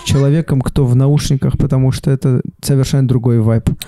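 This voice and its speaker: Noticeable background noise sits under a man speaking with fairly even intonation. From Saint Petersburg. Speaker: comedian. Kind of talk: casual chat.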